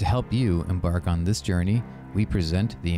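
A man with lively intonation speaks at a moderate pace while music plays in the background. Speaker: podcast host. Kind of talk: podcast intro.

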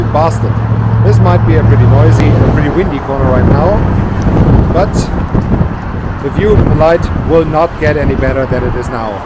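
Loud background noise accompanies a man talking at a fairly quick pace, with a dry sound and no echo. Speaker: travel vlogger. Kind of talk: casual vlog chat. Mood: cheerful, admiring the view. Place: street. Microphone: phone near.

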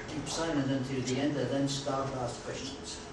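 A man at a moderate pace, with loud background noise and audible room echo. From Belgium. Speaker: urban planner. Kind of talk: lecture. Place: meeting room. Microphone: camera far.

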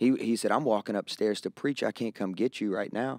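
A man's fairly low voice, dark and mellow in tone, with a rural Kentucky accent at a fairly quick pace against a quiet background. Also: dry sound with no echo. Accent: rural Southern US (Kentucky). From Kentucky, US South. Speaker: pastor. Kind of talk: casual conversational interview. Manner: animated. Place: studio. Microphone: studio mic.

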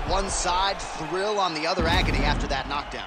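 Over noticeable background noise, the speaker talks at a fairly quick pace in an animated, excited tone. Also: man. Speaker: play-by-play commentator. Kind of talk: live sports commentary. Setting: video game broadcast. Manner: animated play-by-play, brisk and excited, calling strikes and cuts as they happen.

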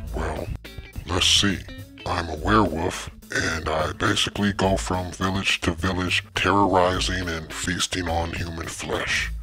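Over clear background music, a man performs a cartoonish character voice with a very deep, low pitch at a moderate pace. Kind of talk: comic cartoon voice acting. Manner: rambling, sheepish.

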